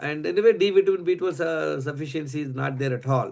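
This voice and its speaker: At a fairly quick pace, a man talks in a normal speaking voice with a fairly high pitch. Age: 60s. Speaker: health educator. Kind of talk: health talk presenting case studies.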